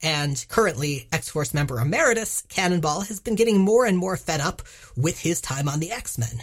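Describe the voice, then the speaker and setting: Her very deep, low pitch swings very widely as the woman talks at a moderate pace, sounding somewhat breathy. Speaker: podcast host. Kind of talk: casual banter podcast.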